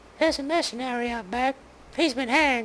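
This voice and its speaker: A put-on character voice, high in pitch, moves at a fairly quick pace. Clear background noise sits behind it. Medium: game stream. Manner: dry, wry.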